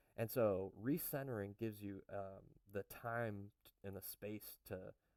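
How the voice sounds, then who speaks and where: A man speaks with a fairly low pitch and a dark, mellow tone. His intonation stays fairly even, and the sound is dry and close with no echo. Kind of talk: casual talk to camera. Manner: hesitant, many fillers.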